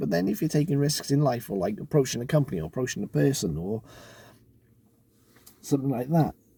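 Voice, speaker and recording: Fairly quick and somewhat breathy, a man with a dark, mellow tone speaks with very wide pitch swings. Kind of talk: casual talk to camera. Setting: in a car.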